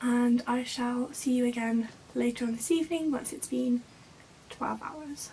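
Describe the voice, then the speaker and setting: A woman's high voice, fairly even intonation, noticeable background noise. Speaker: beauty vlogger. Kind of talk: casual talk to camera. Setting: indoors, bedroom.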